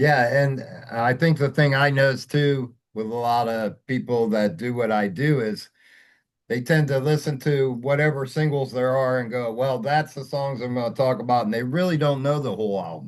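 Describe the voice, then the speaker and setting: A man's medium-pitched, normal speaking voice, moderate in pace, with ordinary pitch variation against a quiet background. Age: 60s. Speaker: music interviewer. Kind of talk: interview.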